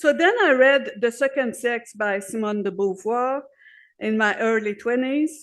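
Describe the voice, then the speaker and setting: Speaking with a Quebec accent, a woman talks at a fairly slow pace against a quiet background. Her pitch is fairly high and her intonation lively. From Quebec, Montreal. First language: French. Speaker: activist speaker. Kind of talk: conference speech. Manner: halting.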